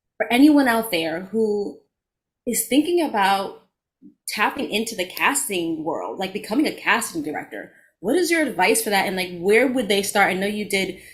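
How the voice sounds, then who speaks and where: A woman with a New York accent speaks at a moderate pace in a medium, somewhat breathy voice with lively intonation. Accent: New York (Bronx) accent noticeable in speech. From the Bronx, New York. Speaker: podcast co-host and actor, life coach. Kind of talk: casual interview chat.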